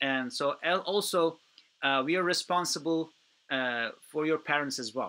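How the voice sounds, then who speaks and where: Speaking at a moderate pace, a man uses a bright, sharp tone, and his pitch varies in an ordinary way. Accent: Turkish. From Turkey. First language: Turkish. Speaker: youth program organizer. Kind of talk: webinar Q&A. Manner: halting, many fillers.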